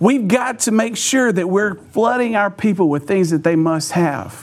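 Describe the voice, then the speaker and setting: A man speaks at a moderate pace with lively intonation. Noticeable background noise runs behind him. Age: 40s. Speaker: pastor. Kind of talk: sermon.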